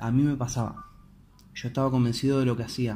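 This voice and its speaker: In an Argentine accent, a man speaks at a medium pitch with monotone, flat intonation and audible room echo. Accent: Rioplatense Argentine Spanish. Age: 20s. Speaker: podcaster. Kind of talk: motivational monologue. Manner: halting, many repetitions.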